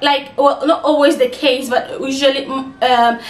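A woman's high-pitched voice, fairly even in intonation, with audible room echo. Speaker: advice vlogger. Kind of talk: casual vlog chat. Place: home room.

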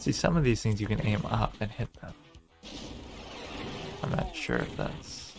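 Over music in the background, a soft-spoken man talks at a fairly slow pace with long, frequent pauses. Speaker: streamer. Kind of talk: gaming commentary.

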